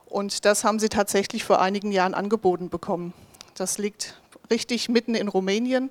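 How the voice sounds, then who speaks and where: With fairly even intonation, a woman talks at a moderate pace and a medium pitch. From southern Hesse, Germany (Bensheim area). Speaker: ministry worker presenting a mission project. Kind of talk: project presentation.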